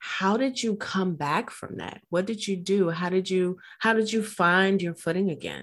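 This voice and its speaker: A plain, everyday voice from a woman, mid-range in pitch and middling in pace. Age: 50s. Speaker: podcast host and coach. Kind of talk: interview conversation. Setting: virtual studio. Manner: excitable.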